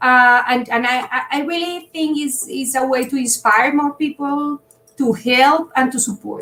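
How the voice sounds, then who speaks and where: A raised, projected voice with a bright, sharp tone comes at a fairly slow pace with ordinary pitch variation. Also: woman, high pitch for a woman. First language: Spanish. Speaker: startup founder. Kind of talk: interview.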